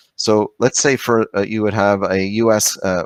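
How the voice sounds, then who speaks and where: On a very clean recording with a silent background and a dry, close sound with no echo, a man speaks in a fairly low, monotone voice with flat intonation. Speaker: trade lawyer. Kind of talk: lecture. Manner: fast; halting.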